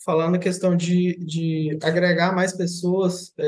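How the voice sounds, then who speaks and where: A man at a moderate pace, high in pitch. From Minas Gerais, Brazil (Paracatu). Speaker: agricultural project consultant. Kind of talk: casual interview.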